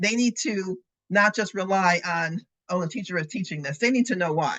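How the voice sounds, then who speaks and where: Over a quiet background, a woman with a medium pitch speaks in an animated tone with lively intonation. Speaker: education lecturer. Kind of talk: lecture. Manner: fast.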